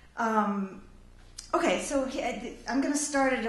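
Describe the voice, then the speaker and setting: A woman speaks at a fairly slow pace with lively intonation. Noticeable background noise and audible room echo surround her voice. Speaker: novelist. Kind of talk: talk introducing a reading.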